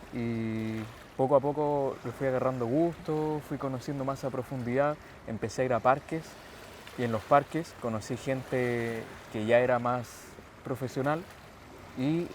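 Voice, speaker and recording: Against noticeable background noise, a man speaks at a moderate pace with fairly even intonation and long, frequent pauses. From Chile, Santiago. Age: 20s. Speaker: calisthenics athlete. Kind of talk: interview.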